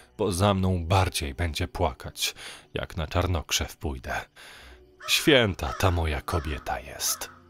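A man speaks at a very slow pace in a very clean recording with a silent background and a dry, close sound with no echo. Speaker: audiobook narrator. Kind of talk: horror story narration, reading aloud. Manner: gloomy, hushed, conspiratorial storytelling.

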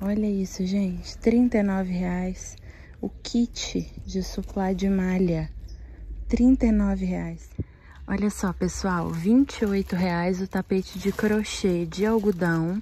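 Amid light background noise, a woman speaks quietly at a very slow pace in a dry sound with no echo. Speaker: vlogger. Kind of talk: shopping vlog, talking to camera. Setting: inside a shop. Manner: speaking quietly. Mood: enthusiastic, delighted. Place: shop. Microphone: phone near.

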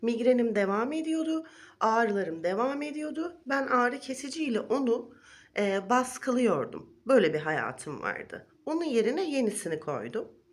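A woman's high voice moving through very wide pitch swings at a fairly slow pace. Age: 40s. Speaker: wellness vlogger. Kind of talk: vlog monologue. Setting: recorded video.

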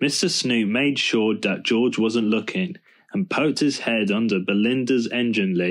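Someone reads aloud in a natural voice, the intonation lively throughout.

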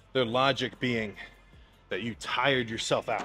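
Faint background music behind a male voice. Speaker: bodybuilder vlogger. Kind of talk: casual vlog chat. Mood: mildly annoyed, opinionated. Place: gym.

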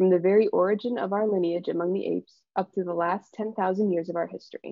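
Talking very fast with an American accent, a woman has a medium pitch and ordinary pitch variation. The background is quiet, and the sound is dry with no echo. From Michigan, Ann Arbor; Michigan. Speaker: PhD student, presenter; presenter. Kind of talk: scripted introduction. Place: home room. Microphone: video call.

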